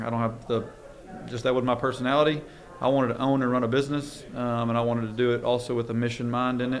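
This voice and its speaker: Amid noticeable background noise and audible room echo, a man with a medium-pitched voice talks at a very fast pace. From Louisiana. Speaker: construction and land development business owner. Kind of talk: podcast interview. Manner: frequent filler ums.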